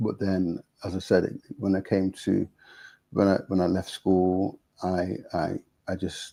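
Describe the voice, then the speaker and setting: Very deep, low male speech in an East Midlands accent, dark and mellow, flat and monotone, fairly slow, with long, frequent pauses. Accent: British Nottingham. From England, Nottingham. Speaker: gospel musician and songwriter. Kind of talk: interview conversation. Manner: halting, with repetitions.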